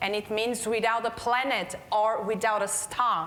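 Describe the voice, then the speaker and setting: A woman with a fairly high pitch speaks at a fairly slow pace. Noticeable background noise and audible room echo fill the recording. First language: Portuguese. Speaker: healthcare quality manager. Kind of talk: conference keynote talk.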